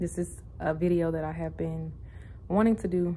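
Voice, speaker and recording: A quiet, whispering woman with an American accent, at a moderate pace. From US South, Louisiana. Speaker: vlogger. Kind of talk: casual vlog monologue. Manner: quiet, near whisper.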